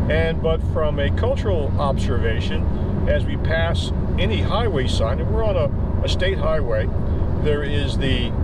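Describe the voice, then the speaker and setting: Over loud background noise, a man talks at a fairly slow pace, the sound dry with no echo. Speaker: travel vlogger. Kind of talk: casual vlog chat. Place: car. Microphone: phone near.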